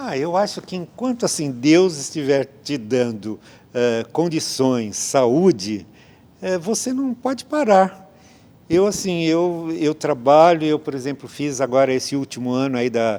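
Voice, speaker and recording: A man with a fairly high pitch, very wide pitch swings, a dark, mellow tone and a fairly slow pace, on a very clean recording with a silent background. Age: 70s. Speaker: theatre director and playwright. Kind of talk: interview. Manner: hesitant, many fillers.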